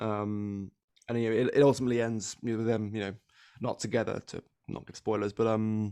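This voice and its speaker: A man speaks in a monotone, flat way at a fairly low pitch. His tone is dark and mellow, and the sound is dry and close with no echo. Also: fairly quick pace. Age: 20s. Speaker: podcast guest, digital editor. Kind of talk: casual chat. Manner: halting.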